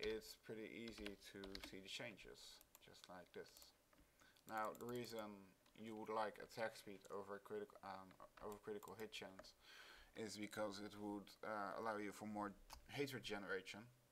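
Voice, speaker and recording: With long, frequent pauses at a moderate pace, a man speaks in a fairly low, monotone, flat voice. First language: not English. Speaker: gaming video creator. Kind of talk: tutorial. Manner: halting, many fillers.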